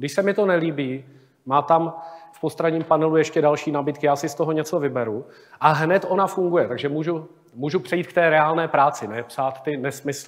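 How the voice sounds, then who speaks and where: Behind the speech, the background stays quiet. The delivery is fairly quick and the intonation fairly even. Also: man. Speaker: conference presenter. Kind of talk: tech talk presentation. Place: hall.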